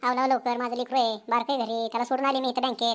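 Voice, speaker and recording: A woman's loud, high-pitched cartoonish character voice, very fast and monotone with flat intonation, in a very clean recording with a silent background. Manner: loud, argumentative, quick to take offense.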